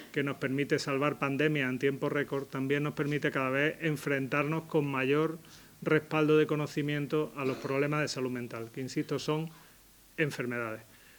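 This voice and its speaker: This man's voice sits fairly high in pitch. He talks at a moderate pace with monotone, flat intonation. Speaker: psychiatrist giving a talk. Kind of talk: public talk.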